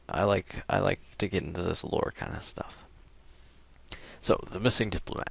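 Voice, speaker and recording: A man with an American accent speaks at a moderate pace. His very deep, low voice carries vocal fry. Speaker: gaming video creator. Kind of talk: reading aloud; casual chat. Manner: halting.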